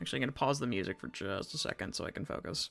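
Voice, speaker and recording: A woman's voice with music in the background. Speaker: voice actor; streamer.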